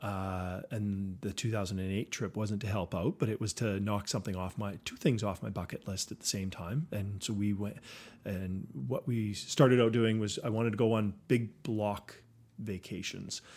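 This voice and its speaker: On a very clean recording with a silent background, a man talks at a moderate pace with an ordinary speaking voice. His pitch is fairly low, with ordinary pitch variation. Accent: Canadian. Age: 50s. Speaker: company CEO. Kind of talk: interview.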